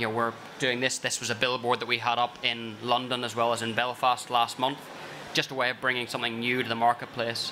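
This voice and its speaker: A man with a Northern Irish accent speaks very fast at medium pitch. Noticeable background noise runs under his voice. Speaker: food company director. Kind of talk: conference talk.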